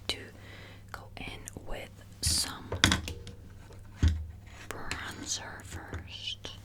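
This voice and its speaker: A woman whispers. Background noise is noticeable. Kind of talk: ASMR makeup ramble, casual talk to camera. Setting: home recording with a squeaky chair.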